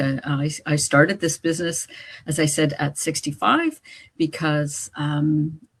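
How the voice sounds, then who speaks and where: Somewhat breathy, a woman with a Canadian accent and a very deep, low pitch talks at a fairly slow pace. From Canada, Winnipeg, Manitoba. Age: 70s. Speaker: online business owner. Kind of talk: live-stream chat. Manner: halting, many fillers.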